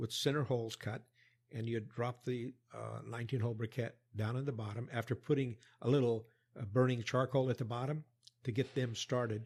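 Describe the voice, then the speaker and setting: Somewhat breathy, the speech runs at a fairly quick pace broken by long, frequent pauses. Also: man. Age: 70s. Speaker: former US Army worker, long-time expat. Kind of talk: interview, storytelling. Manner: halting.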